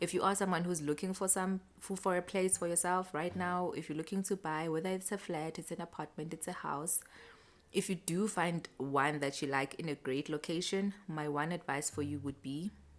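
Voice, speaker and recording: A woman with a South African accent speaks at a moderate pace, her pitch fairly low and her intonation fairly even. The recording is very clean, with a silent background. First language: Xhosa. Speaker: lifestyle vlogger. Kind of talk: casual vlog chat. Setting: at home. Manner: chatty, conversational.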